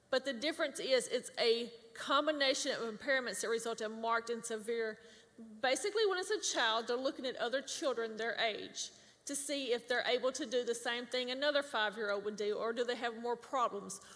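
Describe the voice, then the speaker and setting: A woman speaks loudly with a high pitch. Her pace is fairly quick and her pitch varies normally. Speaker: government public affairs specialist. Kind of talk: workshop presentation.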